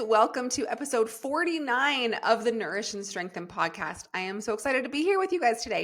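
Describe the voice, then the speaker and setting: The delivery has an animated tone and a fairly quick pace, with hardly any pauses. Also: woman. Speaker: fitness coach and podcast host. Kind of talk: solo podcast Q and A. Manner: animated, chatty.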